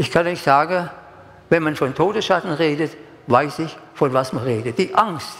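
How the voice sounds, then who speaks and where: A man speaks fairly slowly while noticeable noise sounds in the background. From Stuttgart area, Germany. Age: 80s+. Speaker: preacher. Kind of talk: sermon. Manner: emotional, repetitive.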